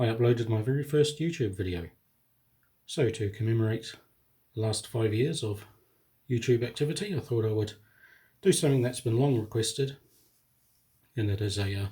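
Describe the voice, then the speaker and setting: A man speaks at a fairly quick pace yet with long, frequent pauses. His medium-pitched voice is somewhat breathy, with a dark, mellow tone and ordinary pitch variation. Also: very clean recording, silent background. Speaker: scale model builder. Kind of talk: casual talk to camera.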